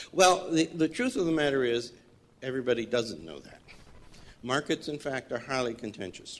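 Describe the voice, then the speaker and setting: A man speaks with lively intonation and vocal fry. His loudness swings widely. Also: medium pitch for a man, moderate pace. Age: 70s. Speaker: water law scholar, audience member commenting. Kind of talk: conference floor comment.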